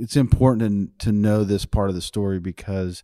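Speaking at a moderate pace with a slight Texas accent, a man uses a fairly low pitch, a dark, mellow tone and ordinary pitch variation on a very clean recording with a silent background. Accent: American, slight Texas twang.

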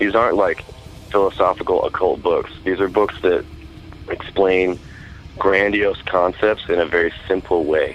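A man with an American accent at a moderate pace, long, frequent pauses and very even loudness, over noticeable background noise. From US Pacific Northwest (Oregon, Idaho). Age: 30s. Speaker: metal musician and record label owner. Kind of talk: interview. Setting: phone call.

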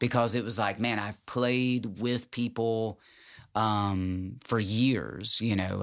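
In a very clean recording with a silent background, a man with a Tennessee accent speaks at a fairly low pitch, fairly slowly, in a monotone, flat intonation. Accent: Southern US (Tennessee). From Tennessee (Jackson, West Tennessee). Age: 40s. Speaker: musician. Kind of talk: casual chat.

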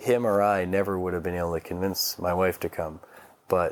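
This man's voice is very deep and low, flat and monotone in intonation, delivered at a moderate pace. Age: 30s. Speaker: golf company founder and CEO. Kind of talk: interview.

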